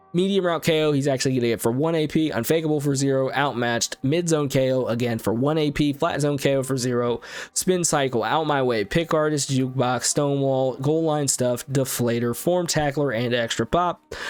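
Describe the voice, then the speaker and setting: Against noticeable background noise, a man speaks fairly quickly at a fairly high pitch, with ordinary pitch variation and very even loudness. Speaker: gaming YouTuber. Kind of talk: video game card review commentary. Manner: casual, filler words.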